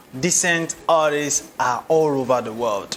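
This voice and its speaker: Over noticeable background noise, a man with a fairly high pitch talks at a fairly slow pace and with ordinary pitch variation. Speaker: interviewer, show host. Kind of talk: show intro to camera.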